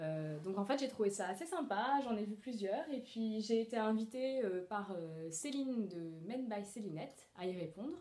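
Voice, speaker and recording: A woman speaks at a fairly slow pace with lively intonation and a dark, mellow tone. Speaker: sewing vlogger. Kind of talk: casual Q&A monologue. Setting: at home alone. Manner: hesitant, many fillers.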